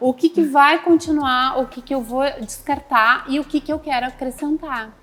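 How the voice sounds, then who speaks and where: Her pitch high, a woman keeps a moderate pace and fairly even intonation. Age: 60s. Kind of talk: TV talk show debate.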